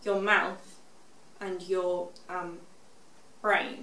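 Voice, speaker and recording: A woman's monotone, flat delivery amid noticeable background noise. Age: 20s. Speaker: stroke survivor with aphasia. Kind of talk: interview answer. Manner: halting, hesitant with frequent fillers.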